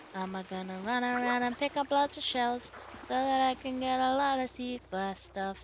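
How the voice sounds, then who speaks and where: Amid noticeable background noise, a woman talks at a moderate pace and high pitch, her intonation lively and her tone playful. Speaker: streamer. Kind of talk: casual chat.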